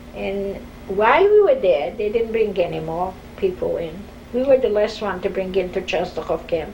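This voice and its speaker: With a Polish accent, a woman talks at a moderate pace and medium pitch with ordinary pitch variation over noticeable background noise. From Poland, Warsaw. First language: Polish or Yiddish. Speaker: Holocaust survivor. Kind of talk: oral history interview.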